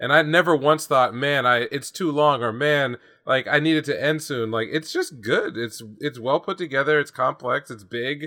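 A man with an American accent talks at a moderate pace with hardly any pauses. His pitch is fairly high, with ordinary variation. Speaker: anime podcast co-host. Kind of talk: casual chat.

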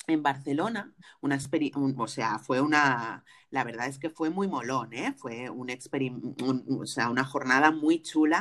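The pace of this woman's speech is very slow. Very wide swings run through her pitch. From Spain. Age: 40s. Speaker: podcast host and afrofeminist author. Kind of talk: casual interview conversation.

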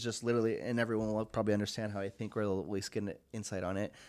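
Recorded very cleanly over a silent background, an unremarkable speaking voice with an American accent keeps a fairly even intonation. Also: man. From US Pacific Northwest, Longview, Washington. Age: 20s. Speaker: studio owner and entrepreneur. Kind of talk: casual interview.

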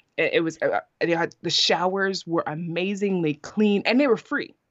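Speaking at a fairly quick pace with a New York accent, a woman uses a medium pitch and ordinary pitch variation. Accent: New York American. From New York City, Brooklyn. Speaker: podcaster and YouTuber. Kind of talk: casual interview chat.

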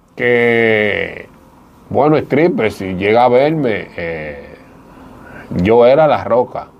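A man of medium pitch speaks at a very slow pace with long, frequent pauses and lively intonation. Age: 40s. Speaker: former stripper turned evangelist. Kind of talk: testimony.

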